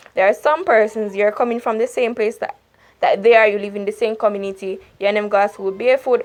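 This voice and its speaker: Speaking at a very fast pace, a woman uses a fairly high pitch and fairly even intonation. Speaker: YouTuber. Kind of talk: advice talk.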